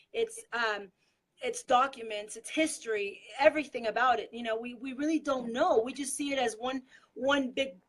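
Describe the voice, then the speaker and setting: A woman speaks with a Spanish accent at a high pitch and a moderate pace. Her pitch varies in an ordinary way while her loudness swings widely. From Mexico. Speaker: political activist. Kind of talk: casual chat.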